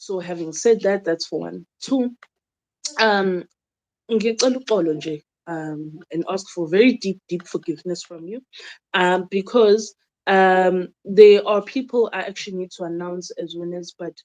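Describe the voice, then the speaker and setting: A woman with a South African accent, medium pitch, ordinary pitch variation, a fairly slow pace and big swings in loudness. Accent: South African, Zulu-speaking. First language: Zulu. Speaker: traditional healer and YouTuber. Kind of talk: casual monologue to viewers, Q and A. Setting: home video recording during load shedding. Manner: code-switching English and Zulu, hesitant with fillers.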